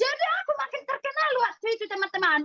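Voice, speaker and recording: A woman's raised, projected voice is bright and sharp, extremely high in pitch with very wide swings. She speaks fairly quickly in a dry, close recording with no echo. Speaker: health product seller. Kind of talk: sales training talk. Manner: animated.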